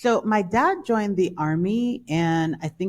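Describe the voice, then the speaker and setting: A woman with a New York accent speaks with ordinary pitch variation. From Brooklyn, New York. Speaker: author. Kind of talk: interview.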